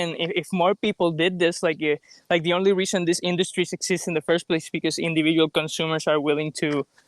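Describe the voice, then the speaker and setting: A man with a Puerto Rican accent speaks very fast at a high pitch with a monotone, flat intonation. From Puerto Rico. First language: Spanish. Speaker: vegan debater, channel host. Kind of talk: friendly debate. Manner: halting, many fillers.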